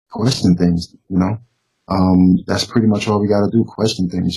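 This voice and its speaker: Somewhat breathy, the man talks at a fairly quick speed. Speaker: YouTube interview host. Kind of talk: casual interview chat. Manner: halting with many fillers.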